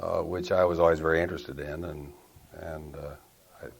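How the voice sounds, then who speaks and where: A man speaks with an American accent. His pitch is very deep and low. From Arizona, USA. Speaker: retired Air Force general. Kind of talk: oral history interview answer.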